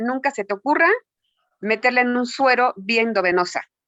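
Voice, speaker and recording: This woman's voice is high. It varies in pitch in an ordinary way. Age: 60s. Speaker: health practitioner. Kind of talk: interview.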